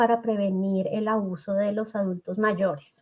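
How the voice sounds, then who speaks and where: Somewhat breathy and at medium pitch, a woman with a Bogotá accent speaks at a fairly slow pace with fairly even intonation. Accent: Colombian, Bogotá. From Colombia, Bogotá. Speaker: psychologist and school settlement counselor. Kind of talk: interview.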